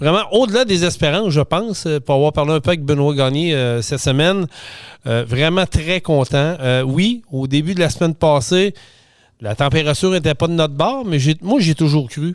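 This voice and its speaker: A speaker with a Quebec accent talks at a moderate pace with lively intonation and very even loudness. The recording is very clean, with a silent background. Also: man. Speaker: podcast host. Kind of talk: casual podcast monologue. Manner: hesitant, many filler sounds.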